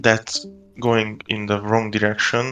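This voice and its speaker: Someone speaks with a non-native accent while music plays in the background. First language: not English. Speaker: trader in live session. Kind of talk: casual trading chat. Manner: hesitant, many fillers.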